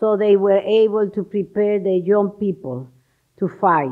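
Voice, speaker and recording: Speech comes at a fairly slow pace with a Cuban accent. The intonation stays fairly even. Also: woman. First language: Spanish. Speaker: ambassador. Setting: stage with audience. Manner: halting.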